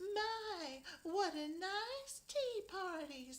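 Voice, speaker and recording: A woman's put-on character voice, squeaky and croaky at an extremely high pitch. Her pitch swings very widely over light background noise. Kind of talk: children's story, playful. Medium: read story. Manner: prim, genteel.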